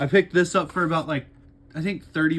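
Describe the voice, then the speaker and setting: A man with a fairly high pitch mumbles his words. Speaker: YouTuber, toy collector. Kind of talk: unboxing video. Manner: mumbling.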